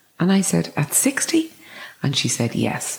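This is a woman speaking. She talks with an Irish accent. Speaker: clinic founder and former business executive. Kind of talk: interview conversation.

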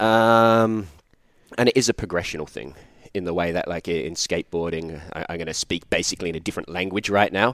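With a very deep, low pitch and ordinary pitch variation, a man speaks at a fairly quick pace. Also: dry, close sound with no echo. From Australia. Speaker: handstand and movement coach. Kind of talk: casual interview chat. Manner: casual, swears a lot.

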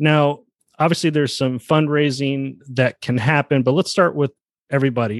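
Recorded with a dry, close sound and no echo, a man speaks at a moderate pace and medium pitch with ordinary pitch variation in an unremarkable speaking voice. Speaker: podcast host. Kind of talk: casual interview.

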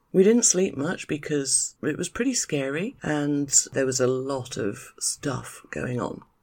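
Woman in a British accent with very wide pitch swings. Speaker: podcast host, expat life consultant. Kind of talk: solo podcast monologue.

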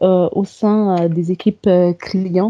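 At a very slow pace, a woman speaks at medium pitch with fairly even intonation. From Comoros. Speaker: software developer. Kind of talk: interview. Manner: hesitant, many fillers.

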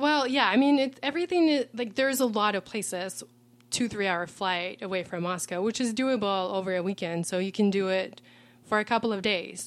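A woman speaks with a Russian accent at a medium pitch. Her intonation is lively. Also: fairly quick pace, very clean recording, silent background. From Russia, Ural Mountains. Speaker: travel guest. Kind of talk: casual interview.

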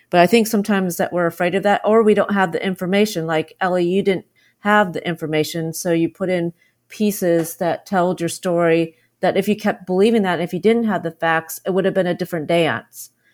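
With an unremarkable speaking voice, a woman talks at a medium pitch and a fairly quick pace with fairly even intonation, in a very clean recording with a silent background. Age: 50s. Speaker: podcast host. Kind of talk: interview.

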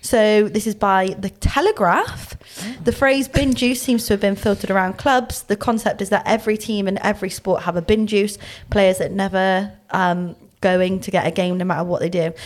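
Spoken in a strong Bristolian accent, the delivery moves at a moderate pace with ordinary pitch variation. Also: woman, medium pitch for a woman. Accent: thick Bristolian. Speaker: women's rugby player and podcast co-host. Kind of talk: casual podcast chat.

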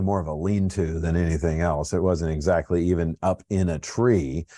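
A man with an American accent and a dark, mellow tone, against a quiet background. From Colorado, US. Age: 50s. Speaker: pastor. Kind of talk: bible study talk. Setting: home office, livestream. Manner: casual, halting with fillers.

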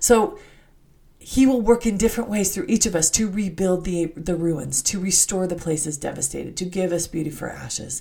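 A woman's somewhat breathy voice sits at medium pitch and moves at a moderate pace. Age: 50s. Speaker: podcast host, religious teacher. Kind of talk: devotional scripture teaching monologue.

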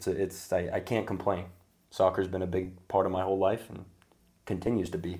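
A man's somewhat breathy, very deep and low voice, dark and mellow in tone, with monotone, flat intonation at a fairly quick pace. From Sacramento, California, US. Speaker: podcast host and soccer coach. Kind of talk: casual chat.

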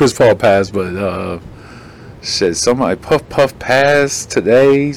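Lively intonation marks this man's speech while background noise stays noticeable. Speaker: podcast host.

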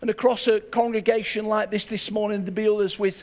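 A man with an English accent, high pitch, monotone, flat intonation and a moderate pace. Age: 60s. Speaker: pastor. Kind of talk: sermon. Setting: church.

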